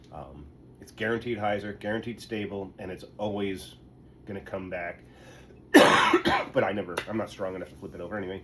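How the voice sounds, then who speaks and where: The speech moves at a fairly quick pace with monotone, flat intonation. Noticeable background noise runs throughout. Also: man. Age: old. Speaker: disc golfer. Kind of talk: casual talk to camera. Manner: casual, halting.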